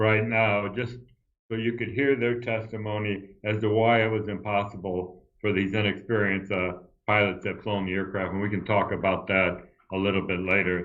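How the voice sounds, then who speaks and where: A man's fairly low-pitched voice, with audible room echo. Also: moderate pace. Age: 70s. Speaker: retired airline pilot. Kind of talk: interview. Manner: animated.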